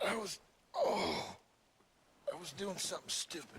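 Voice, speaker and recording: A raspy, put-on character voice talks at a moderate pace. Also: man, high pitch for a man. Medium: video game. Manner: laconic, dry.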